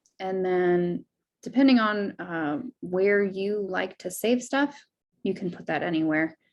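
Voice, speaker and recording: A woman at a medium pitch, at a fairly slow pace with ordinary pitch variation. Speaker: direct sales consultant leading a team training. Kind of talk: software tutorial over screen share.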